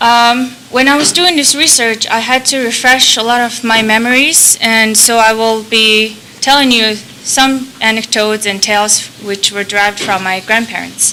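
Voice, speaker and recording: Noticeable background noise behind a woman's fairly high-pitched, fairly even speech at a moderate pace. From Mongolia. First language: Mongolian. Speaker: conference presenter. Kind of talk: conference talk.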